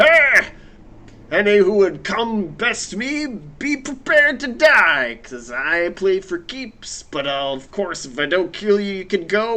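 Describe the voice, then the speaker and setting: A man performs a put-on character voice, raised and projected. He keeps a moderate pace. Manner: dumb, blustering.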